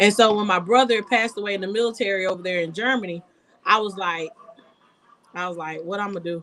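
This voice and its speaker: Between long, frequent pauses, a woman talks at a very fast pace with ordinary pitch variation. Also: medium pitch for a woman. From US South, rural Georgia (Coffee County, Douglas). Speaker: local political candidate. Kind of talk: testimony in a live-stream chat. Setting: live stream.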